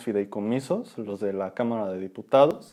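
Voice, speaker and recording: A man with a Mexican accent talks at a moderate pace. His tone is dark and mellow, with ordinary pitch variation. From Mexico. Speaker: podcast co-host. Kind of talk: casual chat.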